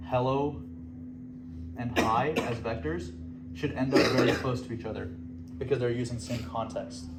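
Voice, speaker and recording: The speaker's lively intonation comes at a fairly quick pace, broken by long, frequent pauses, with noticeable background noise and audible room echo. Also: man. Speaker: student fellowship presenter. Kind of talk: lecture. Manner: fast.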